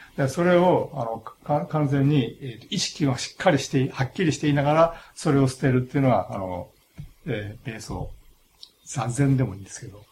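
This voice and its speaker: A man speaks at a moderate pace with a fairly high pitch. His voice is somewhat breathy, and his intonation is lively. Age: 60s. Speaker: philosophy professor. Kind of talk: interview. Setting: studio. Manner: halting.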